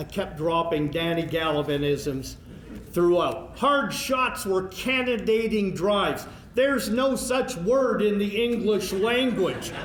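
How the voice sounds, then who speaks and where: A man with a Canadian Prairies accent, fairly slow and with ordinary pitch variation, amid noticeable background noise and audible room echo. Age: 60s. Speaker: hockey play-by-play broadcaster, hall of fame inductee. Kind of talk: acceptance speech.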